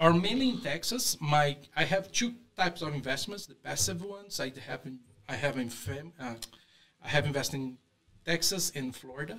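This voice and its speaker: Speaking with a Brazilian accent at a moderate pace, a man uses a fairly high pitch with very wide pitch swings and big swings in loudness. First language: Portuguese. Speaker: real estate investor. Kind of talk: interview. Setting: studio. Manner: halting.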